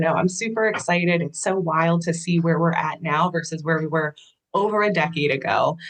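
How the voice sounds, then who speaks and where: Speaking at a moderate pace, a woman with an American accent has a fairly low pitch and ordinary pitch variation. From Pennsylvania, Camp Hill near Harrisburg. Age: 30s. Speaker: clinical social worker. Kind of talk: interview. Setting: home office. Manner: calm.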